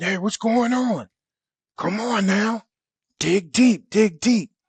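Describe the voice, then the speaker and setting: A man puts on a character voice, pitched high. He goes at a very slow pace, and the sound is dry and close with no echo. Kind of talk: casual, colloquial. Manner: encouraging, urgent coach.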